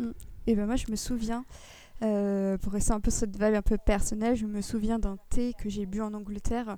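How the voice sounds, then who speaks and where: Moderately paced, a woman speaks in a dark, mellow tone at a fairly high pitch. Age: 20s. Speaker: podcast co-host. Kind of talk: casual chat.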